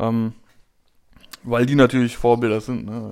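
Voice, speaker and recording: With a medium pitch, a man speaks in a flat monotone. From Berlin. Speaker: podcast co-host. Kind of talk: casual chat. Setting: home recording studio.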